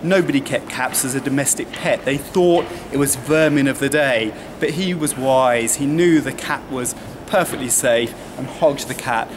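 Noticeable background noise behind a man speaking at a moderate pace with ordinary pitch variation. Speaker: tour guide. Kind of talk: guided tour commentary. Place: street. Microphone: camera far.

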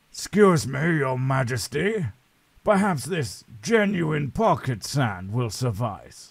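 A man's medium-pitched voice with very wide pitch swings, at a fairly slow pace, on a very clean recording with a silent background. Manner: flippant, rambling.

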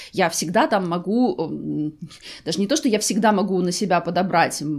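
Lively intonation from a woman at a moderate pace, over a quiet background. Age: 40s. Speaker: fashion and beauty vlogger; beauty vlogger. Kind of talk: try-on haul video. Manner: conversational. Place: home room.

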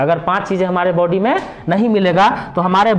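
A man speaks at a moderate pace with a high pitch, ordinary pitch variation and light background noise. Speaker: teacher. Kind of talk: lecture. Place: classroom. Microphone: phone near.

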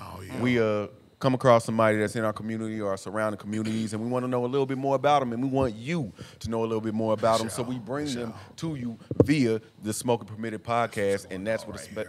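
Very fast delivery with fairly even intonation over noticeable background noise. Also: man. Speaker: podcast host. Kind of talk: podcast intro chat. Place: bar. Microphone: studio mic.

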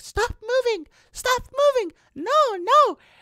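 Pitched extremely high, the voice is a put-on character. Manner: pleading, playful.

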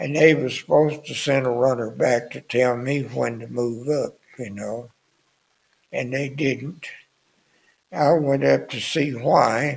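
A man speaks with a Southern US accent at a fairly slow pace. His intonation stays fairly even, broken by long, frequent pauses. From US South. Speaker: war veteran. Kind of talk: elder life story, plainspoken wartime reminiscence. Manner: rambling, folksy storytelling with filler words like anyway, why; chuckles often, understated about danger. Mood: somber reminiscence. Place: studio. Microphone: studio mic.

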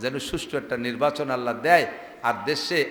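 Audible room echo surrounds a man's voice. His pitch is medium and varies in an ordinary way. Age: 50s. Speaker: Islamic preacher. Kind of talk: humorous religious sermon. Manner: animated.

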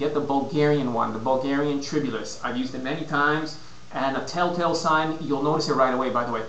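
A man talks with fairly even intonation, and the room echo is audible. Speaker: fitness and nutrition consultant. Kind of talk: casual vlog advice. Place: home room. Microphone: webcam.

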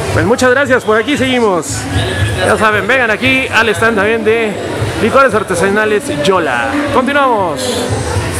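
Fairly slow speech over clear music in the background. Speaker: local fair reporter. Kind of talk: interview questions and promotional commentary. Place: market.

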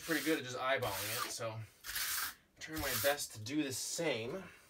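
A man talks at a moderate pace while noticeable background noise carries on behind him. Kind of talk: casual vlog chat. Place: bus. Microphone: camera far.

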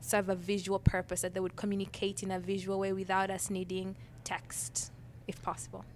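With a Ugandan accent, a woman speaks at a medium pitch over light background noise. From Uganda, Kampala. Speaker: design professor. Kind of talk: interview. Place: studio. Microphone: handheld.

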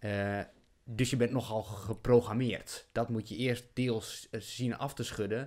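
A man at a medium pitch and a very slow pace, monotone and flat in intonation, over a quiet background. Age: 30s. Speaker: podcast host. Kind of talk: casual chat. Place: home room. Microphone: studio mic.

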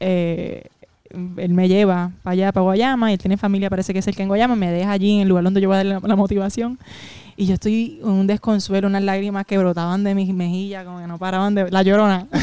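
A woman speaks very fast at a medium pitch, her dark, mellow tone delivered in a monotone, flat intonation with a dry sound and no echo. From Puerto Rico. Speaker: comedian. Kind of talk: casual chat. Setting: at her home. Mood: emotional storytelling. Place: home room. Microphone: handheld.

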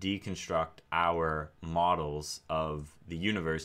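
This man's voice sits very deep and low in pitch, with a bright, sharp tone. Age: 30s. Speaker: AI researcher and YouTuber; YouTuber. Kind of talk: casual monologue. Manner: repetitive, hesitant with fillers. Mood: calm, thoughtful. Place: home room.

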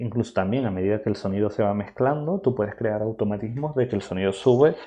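At a very fast pace, a man talks with a dark, mellow tone. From Spain. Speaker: filmmaker and photographer; workshop instructor. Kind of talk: tutorial. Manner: halting. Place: home room.

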